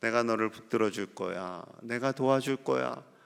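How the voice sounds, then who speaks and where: It is a normal speaking voice: a man at medium pitch, fairly slow pace and lively intonation, on a very clean recording with a silent background. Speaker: pastor. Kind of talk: sermon.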